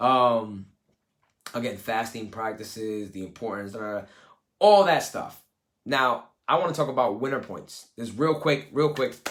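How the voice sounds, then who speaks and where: This man speaks with a New York accent at a fairly slow pace, his pitch medium with ordinary variation. His tone is animated, and his loudness swings widely. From US Northeast, Brooklyn, East New York. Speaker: life coach. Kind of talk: live coaching session talk. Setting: live video call. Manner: casual, animated.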